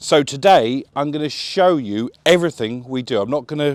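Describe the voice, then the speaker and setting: A man with an English accent and lively intonation, dry and close with no echo, on a very clean recording with a silent background. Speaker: boat dealer presenter. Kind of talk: tour walkthrough. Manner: casual, energetic.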